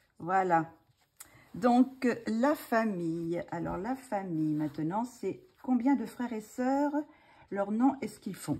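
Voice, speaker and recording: Her tone dark and mellow, a woman talks at a very slow pace with lively intonation. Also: very clean recording, silent background. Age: 60s. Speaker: retired ballet dancer, hobby channel host. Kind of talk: casual chat. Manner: hesitant, many filler sounds.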